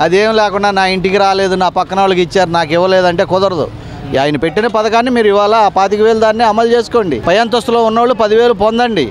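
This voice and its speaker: A man talks at a high pitch with ordinary pitch variation and very even loudness. Noticeable background noise can be heard. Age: old. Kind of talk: street interview answer. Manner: emphatic.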